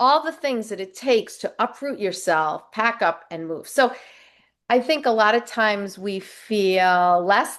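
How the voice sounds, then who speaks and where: In a normal speaking voice of medium pitch, a woman speaks with lively intonation against a quiet background. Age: 60s. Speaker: life coach. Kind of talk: interview.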